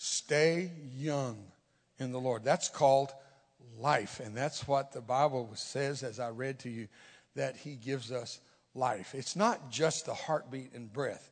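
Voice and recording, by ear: A man speaks at a slow pace with ordinary pitch variation. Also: medium pitch for a man.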